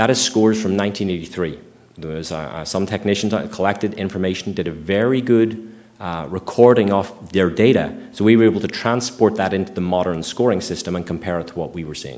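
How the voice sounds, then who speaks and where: Using an ordinary speaking voice, a man talks at a fairly quick pace and fairly low pitch, with ordinary pitch variation and big swings in loudness. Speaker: environmental scientist giving a public talk; presenter. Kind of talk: public presentation with Q&A. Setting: meeting room with live audience. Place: hall.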